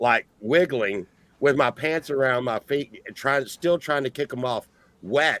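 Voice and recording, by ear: Speaking at a fairly slow pace, a man has a medium pitch, a fairly bright tone and ordinary pitch variation.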